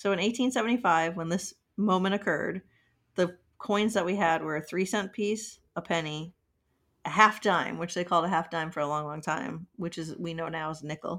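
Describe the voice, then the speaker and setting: A woman with an unremarkable speaking voice talks at a moderate pace and fairly low pitch, with ordinary pitch variation. The recording is very clean, with a silent background. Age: 40s. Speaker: podcast co-host. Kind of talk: casual chat.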